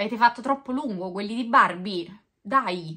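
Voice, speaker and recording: At a fairly slow pace, a woman with a fairly high pitch and a bright, sharp tone sounds animated, with lively intonation and a quiet background. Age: 40s. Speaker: YouTuber. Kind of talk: unboxing video monologue. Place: home room. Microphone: camera far.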